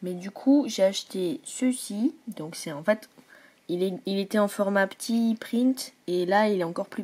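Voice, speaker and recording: Her tone is dark and mellow as a woman speaks at a medium pitch with ordinary pitch variation. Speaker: vlogger. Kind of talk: casual vlog. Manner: hesitant, many fillers.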